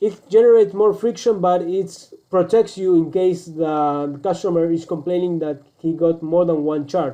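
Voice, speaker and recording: With a Spanish accent and hardly any pauses, a man speaks at a high pitch in a dark, mellow tone with ordinary pitch variation. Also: moderate pace. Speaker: online business coach; presenter. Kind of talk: screen-recorded tutorial; tutorial. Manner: halting, many fillers and restarts.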